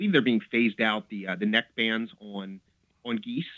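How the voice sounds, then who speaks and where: This man has an American accent and an unremarkable speaking voice. He talks at a medium pitch and moderate pace with ordinary pitch variation. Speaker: birder. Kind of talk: casual chat. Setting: phone call.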